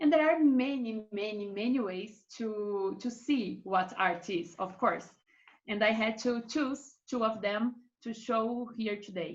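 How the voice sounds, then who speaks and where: A woman with a Brazilian accent, fairly high in pitch, somewhat breathy, at a fairly slow pace with ordinary pitch variation. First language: Portuguese. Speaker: art marketing expert. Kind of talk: presentation on a webinar panel. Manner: hesitant, with filler sounds.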